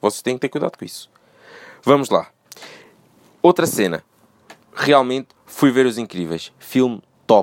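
At a moderate pace and medium pitch, a man speaks with vocal fry, lively intonation and an animated tone, pausing long and often, in a dry, close sound with no echo. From Portugal, moved from Brazil as a small child. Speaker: solo podcaster. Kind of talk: casual monologue.

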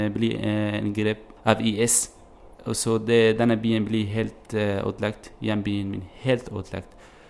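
Very slowly, a man speaks with an Arabic accent. His fairly low voice has monotone, flat intonation. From Syria. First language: Arabic (speaking Norwegian). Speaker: refugee. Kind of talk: interview. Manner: halting, many hesitations.

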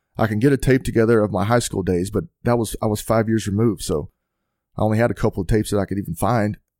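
In a Texan accent, the voice carries a dark, mellow tone with ordinary pitch variation. The recording is very clean, with a silent background. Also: man. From Texas, near Fort Worth. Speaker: football coach and former NFL player. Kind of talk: casual chat.

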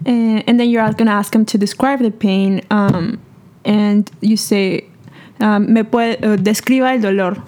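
At a fairly slow pace, a woman with a Spanish accent speaks at a fairly high pitch in a dark, mellow tone, her intonation flat and monotone and her loudness very even. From Peru. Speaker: medical student. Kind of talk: educational casual chat.

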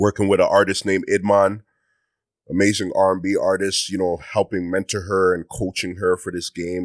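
A man's very deep, low voice in a monotone, flat intonation, on a very clean recording with a silent background. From Mississauga, Ontario, Canada (Ghanaian parents). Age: 30s. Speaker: music producer and rapper. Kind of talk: casual interview chat.

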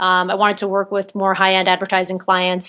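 A woman with an American accent speaks in an ordinary speaking voice at medium pitch. Her pace is fairly quick against a quiet background. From New Jersey. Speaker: photographer and producer. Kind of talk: interview.

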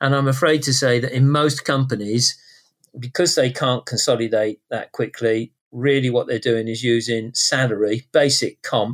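The sound is dry and close with no echo as the speaker goes at a moderate pace with fairly even intonation. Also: man. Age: 60s. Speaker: tech company CEO. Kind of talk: interview. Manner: sounds young for his age.

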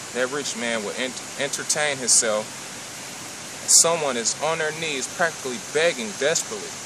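There is noticeable background noise and audible room echo as a man talks at a medium pitch with ordinary pitch variation. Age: 20s. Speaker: religious commentator. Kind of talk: sermon-style monologue.

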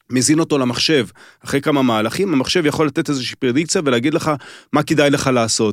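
Recorded with a dry, close sound and no echo, a man talks very fast at a fairly high pitch with ordinary pitch variation. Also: very even loudness. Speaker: former chess federation chairman. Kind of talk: casual chat.

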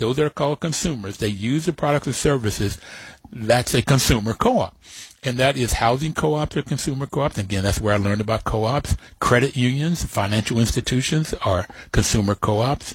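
A somewhat breathy man with an American accent, medium in pitch with ordinary pitch variation, at a fairly quick pace in a very clean recording with a silent background. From West Virginia, Appalachia. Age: 70s. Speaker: radio host. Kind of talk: interview.

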